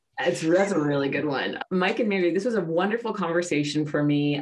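Against noticeable background noise, a woman with an American accent talks at a fairly quick pace. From New York, US. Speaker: podcast host. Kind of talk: podcast interview.

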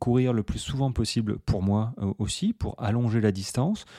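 Over a silent background in a very clean recording, a man with a dark, mellow tone speaks at a fairly slow pace, his sound dry and close with no echo and his pitch varying in an ordinary way. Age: 40s. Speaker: running coach and podcast host. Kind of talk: solo podcast monologue. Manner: casual, many filler hesitations.

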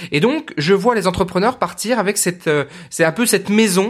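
The speech moves at a fairly slow pace with lively intonation, in a very clean recording with a silent background. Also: man. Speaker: podcast host and entrepreneur coach. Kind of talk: monologue podcast. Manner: energetic; halting, many repetitions and fillers.

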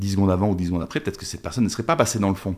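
In a very clean recording with a silent background, a man talks with a fairly low pitch and ordinary pitch variation. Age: 50s. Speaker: documentary filmmaker. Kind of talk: interview. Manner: halting.

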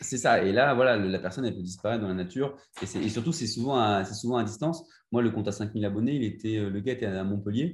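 Fairly low in pitch and somewhat breathy, a man talks very fast with ordinary pitch variation on a very clean recording with a silent background. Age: 20s. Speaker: Instagram entrepreneur. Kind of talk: interview. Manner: halting.

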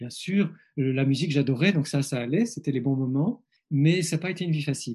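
Somewhat breathy and dark, mellow in tone, a man speaks at a fairly quick pace with a fairly high pitch and ordinary pitch variation. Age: 50s. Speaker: psychologist and author. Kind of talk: interview. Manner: halting; reflective.

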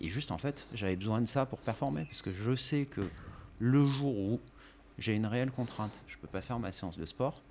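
A man speaks in an unremarkable speaking voice at medium pitch. His intonation is lively. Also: moderate pace. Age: 40s. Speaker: company director and gym member. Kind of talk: casual interview chat.

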